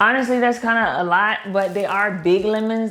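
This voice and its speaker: A woman's fairly high voice with an American accent and ordinary pitch variation, plus audible room echo. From Baltimore, Maryland. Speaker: lifestyle vlogger. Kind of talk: casual vlog, grocery haul. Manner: animated.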